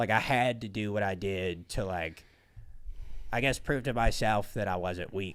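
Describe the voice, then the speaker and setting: Here a man speaks at a fairly low pitch and a moderate pace, with ordinary pitch variation. The recording is very clean, its background silent. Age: 30s. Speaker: comedian and podcast host. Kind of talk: casual chat. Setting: podcast studio.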